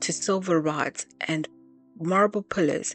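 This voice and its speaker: A woman speaks at a fairly low pitch and a fairly slow pace, with ordinary pitch variation. Music plays in the background, and the sound is dry and close with no echo. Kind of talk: Bible reading. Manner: reading aloud with occasional stumbles.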